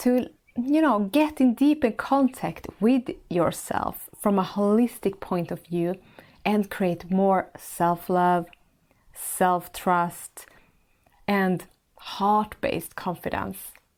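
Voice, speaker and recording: Over a silent background in a very clean recording, a woman with a Swedish accent speaks very slowly, her warm tone carried by lively intonation. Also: medium pitch for a woman. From Sweden. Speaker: podcast host and life coach. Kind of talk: monologue podcast.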